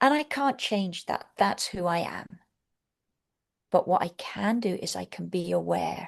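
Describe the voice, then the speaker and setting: With a London accent, a woman speaks at a fairly slow pace over a quiet background. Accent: southern English (London). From England, London. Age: 60s. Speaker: Montessori teacher trainer. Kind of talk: webinar lecture.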